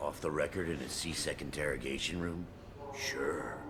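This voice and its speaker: Against loud background noise, a man uses a put-on character voice at a moderate pace. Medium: video game. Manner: sneering, tough-guy.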